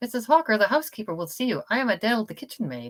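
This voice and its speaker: A woman puts on a character voice at a very fast pace. Her intonation is lively and her loudness swings widely. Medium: read story. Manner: polite, mild.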